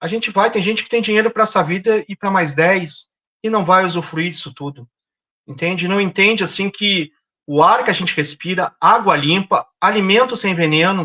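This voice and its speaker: A man's raised, projected voice, high-pitched and bright with a sharp tone, ordinary pitch variation, and a dry, close sound with no echo. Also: moderate pace. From southern Brazil, Porto Alegre. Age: 50s. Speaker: environmental activist. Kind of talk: interview.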